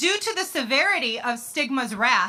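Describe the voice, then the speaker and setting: Very wide pitch swings at a moderate pace, with an American accent, on a very clean recording with a silent background. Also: woman. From US Midwest, Chicago. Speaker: advocate, bereaved sister. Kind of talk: rally speech. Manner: impassioned.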